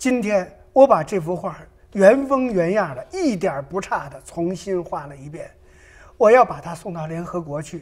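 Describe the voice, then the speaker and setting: A high-pitched man at a moderate pace, with big swings in loudness. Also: lively intonation. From Hunan, China. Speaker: painter. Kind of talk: interview. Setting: studio.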